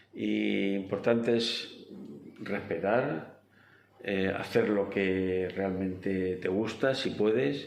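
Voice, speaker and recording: Fairly low-pitched male voice with ordinary pitch variation and audible room echo. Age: 70s. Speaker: interviewee sharing life story. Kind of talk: interview. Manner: halting.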